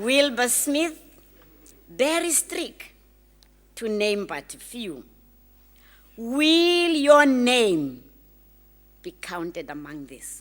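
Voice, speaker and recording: A woman with a high pitch and very wide pitch swings speaks at a very slow pace, with long, frequent pauses and audible room echo. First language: not English. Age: old. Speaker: graduation speaker. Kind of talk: commencement address. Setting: graduation ceremony hall.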